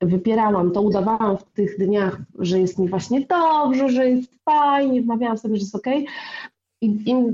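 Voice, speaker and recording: Speaking at a moderate pace, a woman with a normal speaking voice uses a fairly high pitch and lively intonation. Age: 40s. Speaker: blogger. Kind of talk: casual chat.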